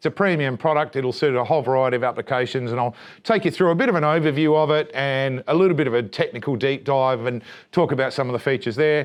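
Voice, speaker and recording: With an Australian accent, a man rattles off his words at a very fast pace. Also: fairly high pitch for a man, ordinary pitch variation, quiet background. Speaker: solar company presenter. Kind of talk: training presentation.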